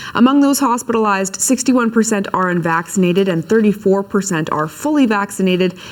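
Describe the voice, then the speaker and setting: Amid noticeable background noise, a woman at a medium pitch talks at a very fast pace with ordinary pitch variation and hardly any pauses. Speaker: TV news anchor. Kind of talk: TV news read.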